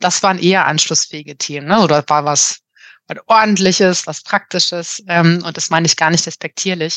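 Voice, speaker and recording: Against a quiet background, a woman talks at a fairly quick pace and fairly low pitch with fairly even intonation, the sound dry and close with no echo. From Germany, Marburg (Hesse). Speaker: organisational consultant and coach. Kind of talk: casual interview. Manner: hesitant, many filler sounds.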